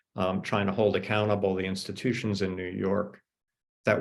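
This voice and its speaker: Against a quiet background, a man talks with vocal fry. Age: 60s. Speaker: author. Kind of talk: panel discussion. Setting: video call.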